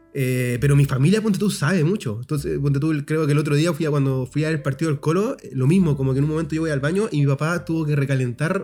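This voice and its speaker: A man's fairly high voice in a Chilean accent, very fast with hardly any pauses. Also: ordinary pitch variation. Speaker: podcast co-host. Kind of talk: casual chat. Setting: outdoors. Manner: animated.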